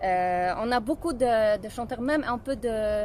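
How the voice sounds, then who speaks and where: A woman talks in a Polish accent. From Poland. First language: Polish (speaking French). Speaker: singer. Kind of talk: interview. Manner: halting.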